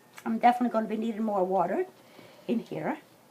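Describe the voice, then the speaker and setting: Over noticeable background noise, a woman talks at a very fast pace in a fairly high pitch with ordinary pitch variation. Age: 60s. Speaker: home cook. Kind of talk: cooking tutorial. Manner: casual, hesitant with fillers.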